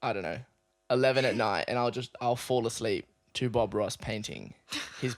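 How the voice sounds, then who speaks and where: Speaking at a moderate pace with an Australian accent, the voice has an animated tone and long, frequent pauses. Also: man, medium pitch for a man. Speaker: podcast co-host, dancer. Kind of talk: casual chat. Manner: loud.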